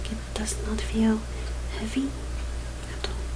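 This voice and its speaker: A woman whispers softly at a very slow pace while background noise is noticeable. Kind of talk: ASMR casual talk. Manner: whispered, soft-spoken.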